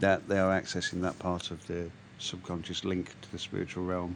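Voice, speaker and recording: Speaking with an English accent, a man uses a very deep, low pitch. His pace is fairly quick. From England, East Midlands. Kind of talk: casual chat. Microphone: bad audio, sounds like transporter beam.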